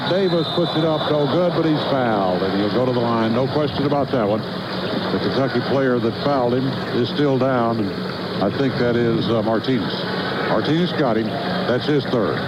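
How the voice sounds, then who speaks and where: Amid noticeable background noise, a man speaks at a medium pitch with very even loudness. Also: ordinary pitch variation, moderate pace. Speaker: radio play-by-play announcer. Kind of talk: live radio sports play-by-play.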